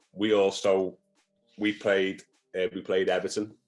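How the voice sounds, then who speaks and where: A man is speaking. Music plays in the background. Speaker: football performance analyst. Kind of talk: interview answer. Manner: stammers.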